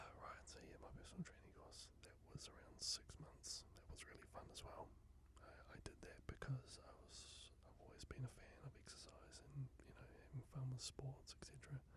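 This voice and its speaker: Whispering at a moderate pace, the speaker leaves hardly any pauses. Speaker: radio station promotions and traffic coordinator. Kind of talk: ASMR channel introduction talk. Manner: whispered.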